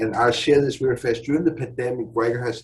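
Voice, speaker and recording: The voice has vocal fry. Its intonation stays fairly even. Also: man. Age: 60s. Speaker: father in a support group. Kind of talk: testimony.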